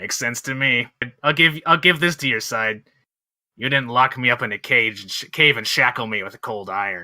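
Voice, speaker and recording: Using a put-on character voice, a man talks at a fairly quick pace with a medium pitch. His raspy voice sits on a very clean recording with a silent background. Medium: actual play. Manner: wry, self-assured, brusque.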